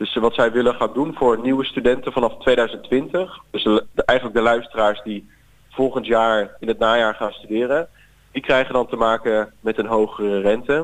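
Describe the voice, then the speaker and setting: Speaking at a moderate pace, a man holds a medium pitch and fairly even intonation. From Netherlands, Zeeland. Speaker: student representative. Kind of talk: interview. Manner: hesitant with fillers.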